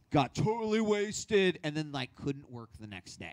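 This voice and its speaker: A loud man speaks at a moderate pace, the sound dry and close with no echo. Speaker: host and workshop presenter. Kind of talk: workshop talk. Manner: loud, projecting.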